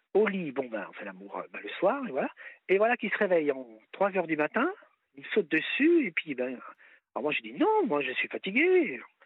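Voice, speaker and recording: Speaking at a moderate pace, a man leaves long, frequent pauses while his loudness swings widely. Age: 50s. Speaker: caller. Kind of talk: personal testimony on radio call-in. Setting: phone call.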